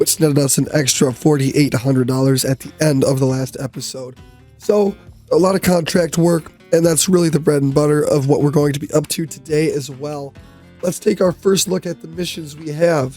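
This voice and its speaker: Behind the speaker, music is playing. A man talks fairly briskly, his pitch varying in a normal way. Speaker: gaming YouTuber. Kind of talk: gameplay commentary. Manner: casual, conversational.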